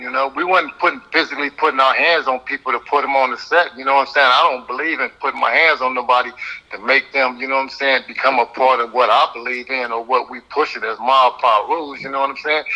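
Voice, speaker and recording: Over noticeable background noise, a man with an American accent and a medium pitch talks at a very fast pace, with fairly even intonation and hardly any pauses. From Compton, Los Angeles, California. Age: 60s. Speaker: former gang member. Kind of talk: interview. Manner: halting, many fillers.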